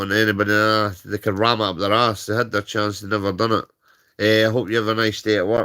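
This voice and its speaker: A man's bright, sharp voice with a Scottish accent, fairly low in pitch, in a very clean recording with a silent background. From Scotland. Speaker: livestreamer. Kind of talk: casual rant. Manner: animated.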